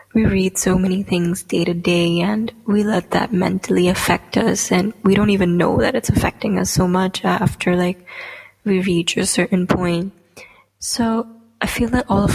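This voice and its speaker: Noticeable background noise sits behind a woman speaking at a moderate pace. Her tone is nervous, with fairly even intonation. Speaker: podcast host and aspiring poet. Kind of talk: casual solo podcast monologue. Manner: nervous, chatty, filler words.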